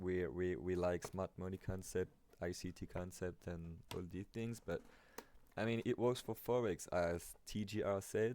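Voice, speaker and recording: With a non-native accent, a man speaks at a fairly slow pace in a very deep, low, dark and mellow voice with ordinary pitch variation. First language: not English. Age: 20s. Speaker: amateur trader, video creator. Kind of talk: tutorial. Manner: casual, hesitant with fillers.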